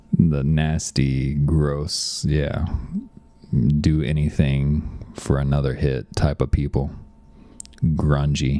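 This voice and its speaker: Over noticeable background noise, a man with a very deep, low pitch speaks in monotone, flat intonation. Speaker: software developer live-streaming. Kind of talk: casual live stream chat. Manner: hesitant, many fillers.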